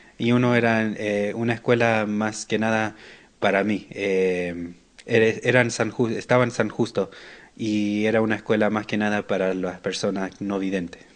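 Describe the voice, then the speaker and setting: A man talks in a flat monotone at a fairly low pitch. His pace is fairly slow, with a quiet background. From Buenos Aires, Argentina, raised in US. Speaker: massage therapist. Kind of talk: interview. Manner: halting.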